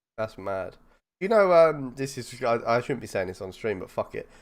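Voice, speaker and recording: On a very clean recording with a silent background, a man with a southern English accent talks at a medium pitch. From southern England, East London area. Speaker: football fan podcast host. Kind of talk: casual chat. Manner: animated.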